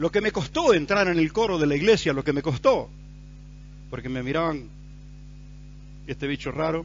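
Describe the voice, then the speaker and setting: A man's fairly high voice with a Rioplatense accent, lively in intonation, at a moderate pace with long, frequent pauses. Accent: Argentine Rioplatense Spanish. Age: 60s. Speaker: pastor. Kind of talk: sermon.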